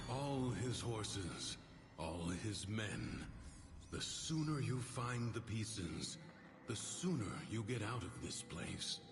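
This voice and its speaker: Over loud background noise, a put-on character voice comes through at a fairly slow pace. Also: man, medium pitch for a man. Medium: machinima. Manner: calm, cryptic.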